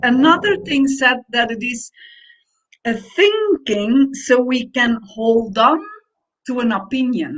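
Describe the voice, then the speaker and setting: A woman's high-pitched voice at a very slow pace, with very wide pitch swings. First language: Dutch. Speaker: podcast co-host. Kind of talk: casual conversation.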